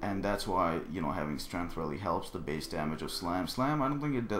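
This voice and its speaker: Audible room echo surrounds a man whose very deep, low pitch carries lively intonation. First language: not English. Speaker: gaming video creator. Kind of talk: tutorial. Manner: halting; casual.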